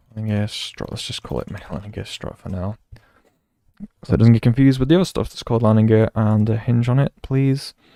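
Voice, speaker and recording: With a British accent, a man speaks in a dark, mellow tone with ordinary pitch variation, the sound dry and close with no echo. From Britain. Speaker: video game streamer. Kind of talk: live stream commentary.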